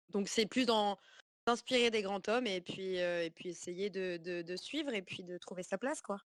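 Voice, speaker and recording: A woman speaks at a moderate pace with a medium pitch and ordinary pitch variation. The sound is dry and close, with no echo. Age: 20s. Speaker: activist. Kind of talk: online community call. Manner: halting.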